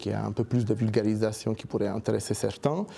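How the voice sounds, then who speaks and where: At a moderate pace, a man speaks with a fairly low pitch and a dark, mellow tone. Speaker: research scientist. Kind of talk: lecture. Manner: halting, many fillers and repetitions.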